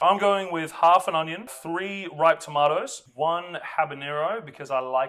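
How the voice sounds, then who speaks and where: This man speaks with an Australian accent and a fairly high pitch. His pitch variation is ordinary. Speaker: chef. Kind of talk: cooking tutorial. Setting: home kitchen. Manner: casual, chatty with fillers.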